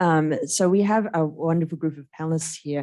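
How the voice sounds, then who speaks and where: A woman with an Australian accent speaks at a very deep, low pitch in a dark, mellow tone. Her intonation is fairly even, her pace moderate, and the background quiet. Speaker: panel moderator, university associate dean. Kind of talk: panel moderation introduction. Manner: halting, many fillers and restarts.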